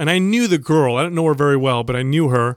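A fairly high-pitched man's voice with ordinary pitch variation, on a very clean recording with a silent background. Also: dry, close sound with no echo. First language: Italian. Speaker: fitness podcast host. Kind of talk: casual chat.

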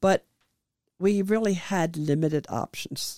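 The voice has a dark, mellow tone. It carries a German accent. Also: woman. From Germany. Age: 70s. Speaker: immigrant telling her life story. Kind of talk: interview, life story. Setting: video recording.

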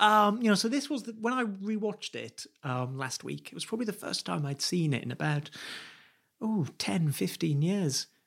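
At a moderate pace, a man with a British accent speaks at a high pitch with very wide pitch swings. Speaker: podcast co-host. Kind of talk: casual chat.

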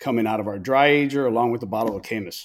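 A plain, everyday voice with fairly even intonation, on a very clean recording with a silent background. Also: man. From Tampa, Florida (born in Chicago, Cuban parents). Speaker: barbecue restaurant and grill shop owner. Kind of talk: casual interview chat.

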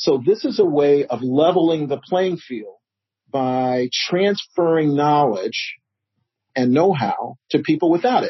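In an American accent, a man speaks at a fairly slow pace with lively intonation. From Chicago South Side. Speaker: nonprofit founder. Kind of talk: interview.

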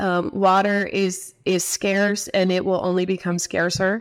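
A woman's voice in a Southwestern US accent. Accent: US Southwest American. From Arizona (Tempe). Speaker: water policy center director. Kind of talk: interview. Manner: hesitant, many fillers.

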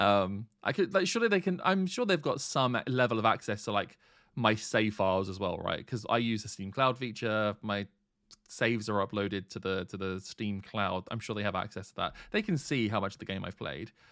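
Recorded very cleanly with a silent background, a man talks at a moderate pace in a plain, everyday voice with fairly low pitch. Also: ordinary pitch variation. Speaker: podcast host. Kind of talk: casual chat about a video game.

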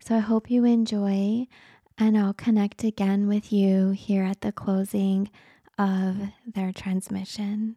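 At a very slow pace, a woman speaks in a monotone, flat intonation at medium pitch, in a very clean recording with a silent background and a dry, close sound with no echo. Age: 40s. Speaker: spiritual healer and podcast host. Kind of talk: casual podcast monologue.

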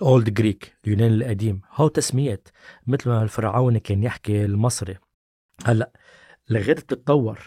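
On a very clean recording with a silent background and a dry, close sound with no echo, a man speaks at a moderate pace in a somewhat breathy, dark, mellow tone of medium pitch with ordinary pitch variation. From Lebanon. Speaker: language activist, association founder. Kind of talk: casual chat.

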